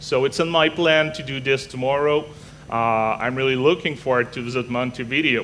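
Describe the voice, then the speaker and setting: A man with a Quebec accent speaks at a medium pitch. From Canada. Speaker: technology evangelist. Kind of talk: conference talk. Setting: stage with audience. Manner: fast; animated.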